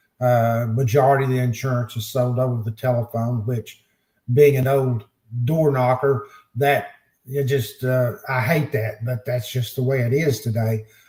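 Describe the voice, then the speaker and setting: Somewhat breathy, a man speaks at a moderate pace with medium pitch. His tone is dark and mellow, his intonation fairly even. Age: 70s. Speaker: insurance agency owner. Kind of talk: podcast interview. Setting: studio. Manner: halting, many fillers.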